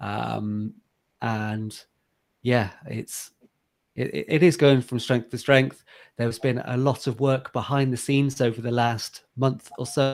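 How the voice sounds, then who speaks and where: This man's medium-pitched voice moves fairly slowly, its pitch varying in an ordinary way. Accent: English. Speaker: software founder. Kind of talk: interview. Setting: home office video call. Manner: hesitant, many fillers.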